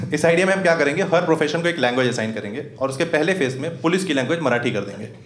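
In a room with audible echo, a man with a fairly high voice talks at a very fast pace. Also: lively intonation. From Rewa, Madhya Pradesh, India; Madhya Pradesh, India. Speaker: stand-up comedian. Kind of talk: live stand-up comedy set. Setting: live comedy club with audience. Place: stage. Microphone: handheld.

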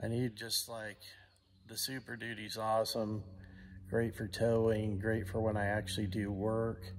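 A man's fairly low, monotone, flat delivery at a moderate pace over light background noise. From US. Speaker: channel host and vlogger. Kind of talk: angry rant, sarcastic complaint about supply delays. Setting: shop recliner, home workshop. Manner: exasperated, incredulous, rhetorical questions; casual, conversational. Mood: frustrated, exasperated. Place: garage. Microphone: phone near.

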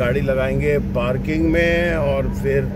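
A man's voice comes through dry, with no echo, against loud background noise. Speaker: caravan travel vlogger. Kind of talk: casual vlog talk to camera. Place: car. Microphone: phone near.

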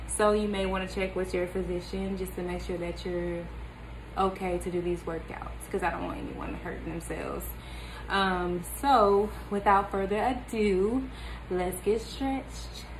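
Noticeable background noise sits behind the recording. A woman speaks at a moderate pace. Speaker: home fitness vlogger. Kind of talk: casual vlog chat. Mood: upbeat, friendly. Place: home room. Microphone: phone near.

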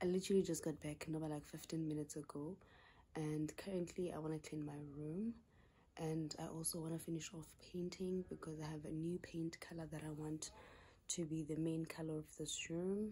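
Her voice is very deep and low in pitch and somewhat breathy. The woman speaks with monotone, flat intonation. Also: moderate pace. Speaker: vlogger. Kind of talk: casual vlog chat. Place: home room. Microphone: phone near.

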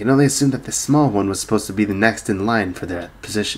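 Pitch varies in an ordinary way as the passage is read aloud in a natural voice.

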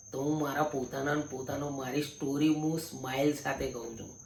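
A man's fairly high, monotone, flat voice, with noticeable background noise and audible room echo. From Gujarat, India. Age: 30s. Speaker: vlogger. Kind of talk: personal monologue. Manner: casual, repetitive filler.

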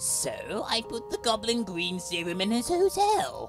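A put-on character voice is heard against clear background music. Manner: taunting, menacing.

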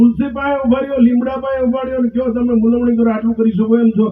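A man speaks in an extremely high pitch. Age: 70s. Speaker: speaker at religious gathering. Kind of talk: speech. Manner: emphatic.

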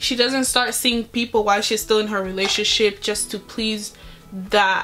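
A woman's monotone, flat intonation at a moderate pace over faint music in the background. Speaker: beauty vlogger. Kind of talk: casual vlog chat. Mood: earnest, opinionated. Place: home room. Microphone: phone near.

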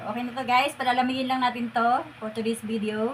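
A woman speaks with a fairly high pitch against noticeable background noise. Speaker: home cook vlogger. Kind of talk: cooking tutorial. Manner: casual, with fillers.

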